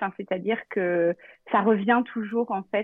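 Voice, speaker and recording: A woman at a very slow pace, medium in pitch, with fairly even intonation. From Normandy, France. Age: 30s. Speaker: travel planner. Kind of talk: casual interview.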